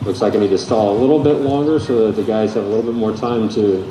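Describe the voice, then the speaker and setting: Fairly quick speech with ordinary pitch variation, audible room echo, and noticeable background noise. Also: man. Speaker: band director. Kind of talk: concert announcements. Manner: casual, halting.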